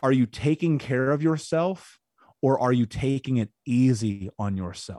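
A man's dark, mellow, intense voice with an American accent, fairly slow in pace, lively in intonation, recorded dry and close with no echo. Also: medium pitch for a man. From Indianapolis, US Midwest. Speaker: podcast host and speaker on trauma recovery. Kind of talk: angry rant, confrontational tough-love lecture. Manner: intense, blunt, forceful, cursing.

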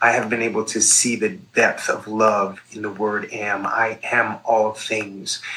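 A man with an American accent, medium-pitched, over noticeable background noise. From New York. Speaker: nurse and psychedelic educator. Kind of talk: interview.

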